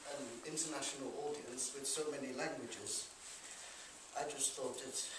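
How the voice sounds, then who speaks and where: Over noticeable background noise and audible room echo, a man talks in a fairly high pitch. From Liverpool. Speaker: poetry reader. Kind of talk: live stage introduction. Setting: live venue. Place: hall. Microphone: camera far.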